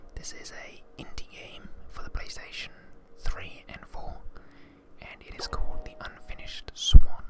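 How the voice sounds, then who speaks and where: A man whispers in a calm tone with long, frequent pauses and big swings in loudness, with noticeable background noise behind him. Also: fairly slow pace. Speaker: ASMR gamer, video game streamer. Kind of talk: ASMR gameplay commentary. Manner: whispered, calm, soft-spoken.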